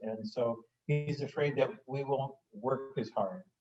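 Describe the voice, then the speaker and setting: This man has a dark, mellow tone. His voice is somewhat breathy. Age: 70s. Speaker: family business founder, audience participant. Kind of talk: casual discussion comment in webinar. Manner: halting, many fillers.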